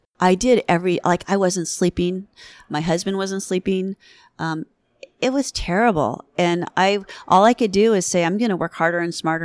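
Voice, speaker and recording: A woman's medium-pitched voice with ordinary pitch variation, in a very clean recording with a silent background. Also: moderate pace, dry, close sound with no echo. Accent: Californian. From US West Coast, Southern California. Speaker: veterinarian. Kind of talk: interview conversation. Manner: animated.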